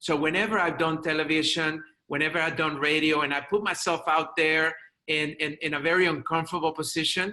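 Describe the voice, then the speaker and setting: With very even loudness, a man speaks in a fairly high pitch and a flat monotone. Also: fairly quick pace. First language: not English. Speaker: chiropractor and media speaker. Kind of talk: interview.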